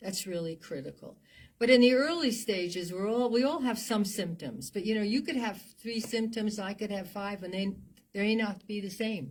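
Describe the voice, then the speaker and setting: A somewhat breathy, medium-pitched woman's voice in an American accent, with lively intonation at a moderate pace, in a very clean recording with a silent background. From New Jersey. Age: 80s+. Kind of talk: interview. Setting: studio.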